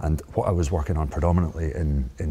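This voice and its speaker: With a Scottish accent, a man speaks at a very deep, low pitch. His pitch varies in an ordinary way, and there is noticeable background noise. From Scotland. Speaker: microbiologist. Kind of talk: interview.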